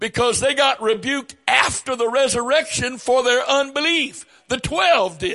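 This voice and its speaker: In a raised, projected voice, a man speaks at an extremely high pitch with ordinary pitch variation. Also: moderate pace. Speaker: preacher. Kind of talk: sermon. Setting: church.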